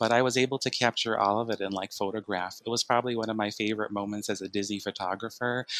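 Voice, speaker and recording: Very fast, hardly pausing male speech with an American accent, fairly low in pitch and monotone in its flat intonation, in a dry, close sound with no echo. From Chicago. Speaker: photographer, theme park fan. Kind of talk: casual interview chat.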